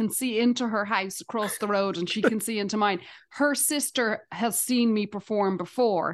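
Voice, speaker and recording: This woman speaks with an Irish accent at a moderate pace over a quiet background. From Dublin, Ireland. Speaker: stand-up comedian. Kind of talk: casual chat.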